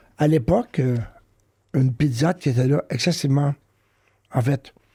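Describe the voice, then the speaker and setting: The voice is somewhat breathy with a dark, mellow tone, ordinary pitch variation and a moderate pace, in a dry, close sound with no echo. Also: man, fairly high pitch for a man. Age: 60s. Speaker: professor of education. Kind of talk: interview testimony. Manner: hesitant, many fillers.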